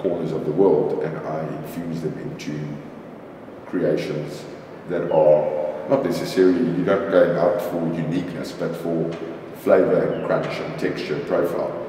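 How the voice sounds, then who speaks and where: A man speaks at a fairly slow pace amid strong room echo and light background noise. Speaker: interviewee. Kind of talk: interview answer. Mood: relaxed, reflective.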